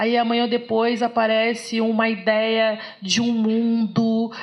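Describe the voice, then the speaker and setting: There is audible room echo as a woman with a fairly high pitch talks in an animated tone. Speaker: philosophy lecturer. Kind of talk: lecture.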